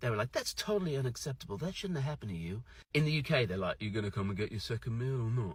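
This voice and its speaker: With a British accent and a medium pitch, a man talks at a very fast pace, somewhat breathy, with lively intonation. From UK. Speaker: social media creator. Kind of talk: storytelling monologue. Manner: animated.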